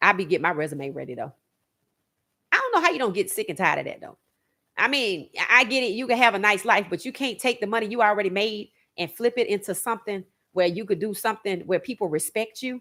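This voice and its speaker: Bright, sharp and animated, a woman talks very fast at a medium pitch with lively intonation. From Louisiana, New Orleans. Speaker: sports podcast host. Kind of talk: opinionated livestream commentary.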